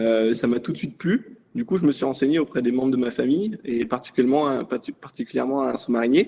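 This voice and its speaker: This man's dark, mellow tone moves along at a fairly quick speed. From France, Brittany (Brest). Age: 20s. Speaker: navy submarine sonar operator. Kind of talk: interview. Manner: casual, hesitant with fillers.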